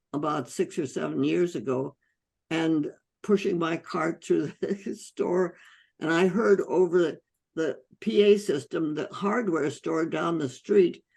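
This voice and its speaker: A woman's fairly low voice with vocal fry, at a fairly slow pace against a quiet background. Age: 80s+. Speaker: physician, holistic medicine pioneer. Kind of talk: interview answer.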